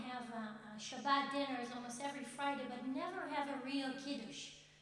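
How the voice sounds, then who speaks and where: Audible room echo surrounds a woman speaking at a moderate pace in a high pitch. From Israel. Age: 20s. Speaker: student speaker. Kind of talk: speech at event. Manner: halting.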